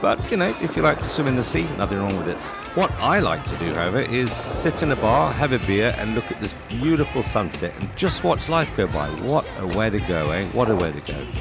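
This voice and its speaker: Clear music plays in the background as a man talks at a fairly quick pace in a dry sound with no echo. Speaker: travel vlogger. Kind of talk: casual vlog commentary. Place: motorbike.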